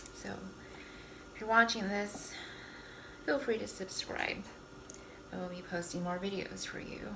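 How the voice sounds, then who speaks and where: Soft-spoken, a woman takes long, frequent pauses with ordinary pitch variation and big swings in loudness, amid noticeable background noise and audible room echo. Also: moderate pace. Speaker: cooking vlogger. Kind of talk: casual cooking tutorial.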